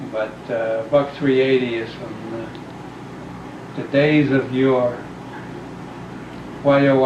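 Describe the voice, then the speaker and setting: Over noticeable background noise and audible room echo, a man with a New York accent speaks at a medium pitch in a monotone, flat intonation, with long, frequent pauses. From New York, Brooklyn. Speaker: family member being interviewed. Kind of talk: family oral history interview.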